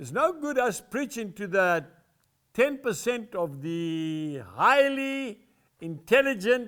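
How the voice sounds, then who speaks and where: High pitch from a man, with very wide pitch swings and a bright, sharp tone, on a very clean recording with a silent background. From South Africa. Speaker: evangelist and farmer. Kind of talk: sermon / devotional teaching to camera.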